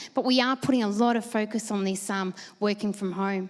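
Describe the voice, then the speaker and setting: A woman speaks in an Australian accent. Her pitch varies in an ordinary way. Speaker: conference presenter. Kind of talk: panel Q&A answers; conference presentation. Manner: fast.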